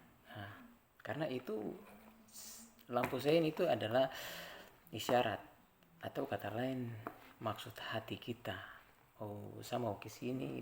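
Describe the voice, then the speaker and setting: A man's medium-pitched voice with vocal fry, a moderate pace, ordinary pitch variation, long, frequent pauses and big swings in loudness. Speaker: traffic safety community member. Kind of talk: informal educational vlog. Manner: conversational, with hesitations.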